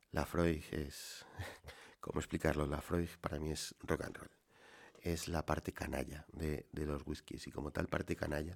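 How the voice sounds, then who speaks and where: A man speaks with a very deep, low pitch and vocal fry. His delivery is fairly slow, with monotone, flat intonation. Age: middle-aged. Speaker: solo whisky podcaster. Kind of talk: relaxed solo monologue. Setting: home wine cellar.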